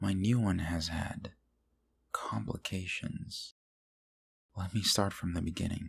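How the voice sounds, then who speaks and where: Very deep and low, a man's somewhat breathy voice moves at a fairly slow pace. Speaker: horror story narrator. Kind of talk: horror story narration, ASMR-style reading.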